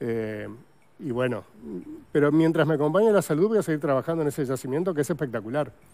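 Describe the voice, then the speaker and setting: A man speaks at a very fast pace but leaves long, frequent pauses. His pitch is fairly high for a man, with a dark, mellow tone. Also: lively intonation. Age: 60s. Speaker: paleontologist; guest. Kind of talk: TV interview. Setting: TV studio. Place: studio. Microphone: lapel.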